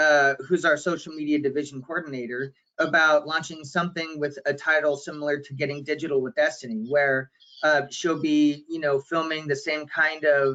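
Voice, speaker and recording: Loud and bright with a sharp tone, a man delivers his words at a moderate pace in a fairly high pitch with monotone, flat intonation. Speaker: digital marketing consultant. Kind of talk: webinar panel discussion. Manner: unscripted.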